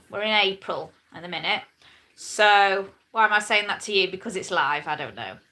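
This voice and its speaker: A woman's bright, sharp, fairly high voice at a fairly slow pace. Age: 40s. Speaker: lifestyle vlogger. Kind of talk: casual live stream chat. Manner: chatty, rambling with hesitations.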